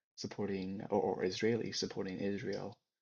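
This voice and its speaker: In a Chinese accent, a man with a fairly low pitch and vocal fry talks at a fairly slow pace, his intonation flat and monotone, over a quiet background. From China, then US. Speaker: podcast co-host. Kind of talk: casual chat.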